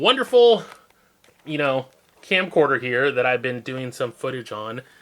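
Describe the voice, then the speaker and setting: Intonation is lively as this man talks. His pace is moderate. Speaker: vlogger. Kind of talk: casual vlog monologue. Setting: seated at desk, camera on tripod. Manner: rambling, jumps between topics.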